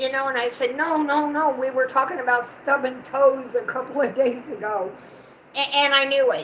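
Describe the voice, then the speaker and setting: A high-pitched woman at a moderate pace with ordinary pitch variation over noticeable background noise. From US South. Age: 60s. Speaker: channel owner's mother, co-host. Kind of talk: casual chat.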